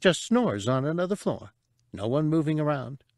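In a put-on character voice that is shrill and squeaky, a man speaks at a moderate pace and a fairly high pitch, on a very clean recording with a silent background. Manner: eager, scrappy, excitable.

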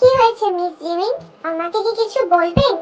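Putting on a squeaky character voice, a woman speaks at an extremely high pitch and a moderate pace. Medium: read story. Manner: calm, polite formal speech.

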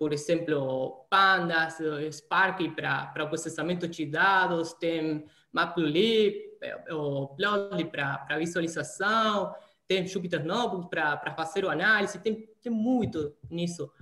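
A man speaks very slowly at a high pitch, with ordinary pitch variation and an Argentine accent. Room echo is audible in the recording. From Argentina, Santa Fe. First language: Spanish (speaking Portuguese). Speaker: data scientist; interviewee. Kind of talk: interview. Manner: halting. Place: home room. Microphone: video call.

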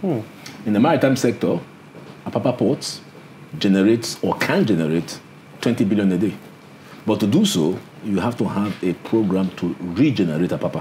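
A man speaks at a moderate pace with a fairly low pitch and lively intonation, leaving long, frequent pauses over light background noise. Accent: Nigerian. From Nigeria. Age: 70s. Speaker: senior lawyer. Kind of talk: interview. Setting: studio. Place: office.

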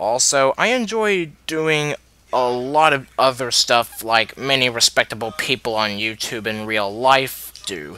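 A quiet man at a fairly slow pace, dry sound with no echo. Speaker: youtuber. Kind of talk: casual talk to camera. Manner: quiet, subdued.

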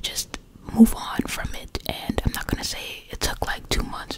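The speaker is a woman. She whispers at a moderate pace. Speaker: ASMR creator. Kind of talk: casual rambling talk to viewers. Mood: relaxed, reflective. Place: home room. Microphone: studio mic.

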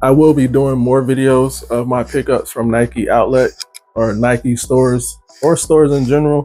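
With fairly even intonation, a man talks over faint music in the background. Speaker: sneaker vlogger. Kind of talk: casual vlog chat. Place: home room.

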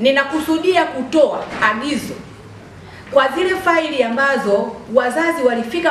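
A woman talks at a high pitch. Light background noise and audible room echo are present. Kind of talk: public address to a meeting. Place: hall.

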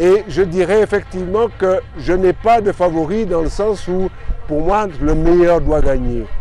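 With light background noise and a dry sound with no echo, a man speaks in a high voice at a fairly slow pace. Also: ordinary pitch variation. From Martinique. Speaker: retired volleyball player and coach. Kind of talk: interview answers. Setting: outdoors at a cycling stage finish, festive. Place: street. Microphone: phone near.

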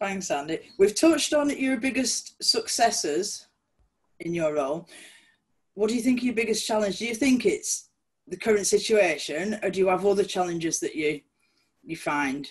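Somewhat breathy speech with very wide pitch swings, moderate pace and long, frequent pauses, against a quiet background. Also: woman. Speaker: volunteer interviewer. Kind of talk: casual interview. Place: home room. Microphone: video call.

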